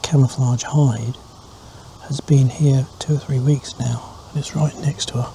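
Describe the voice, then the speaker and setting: A man speaks quietly at a fairly slow pace, at a medium pitch. His intonation is monotone and flat, with noticeable background noise behind him. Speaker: wildlife photographer. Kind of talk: casual to-camera vlog. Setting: outdoors in a hide. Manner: quiet, hushed.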